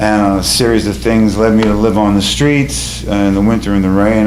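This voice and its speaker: In a New York accent, a man with a fairly low voice talks at a fairly quick pace with lively intonation, amid audible room echo and noticeable background noise. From New York City (Bronx). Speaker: storyteller and musician. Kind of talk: personal storytelling on stage. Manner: halting, with fillers.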